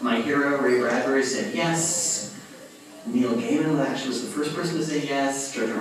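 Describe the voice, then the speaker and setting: Music plays in the background as a man with a fairly high voice talks at a moderate pace amid audible room echo. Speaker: convention artist guest of honor. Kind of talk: onstage interview. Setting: stage with audience. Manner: loud.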